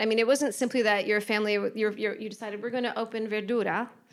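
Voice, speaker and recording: A woman with an American accent speaks in an animated tone over noticeable background noise. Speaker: travel journalist and podcast host. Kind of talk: casual interview.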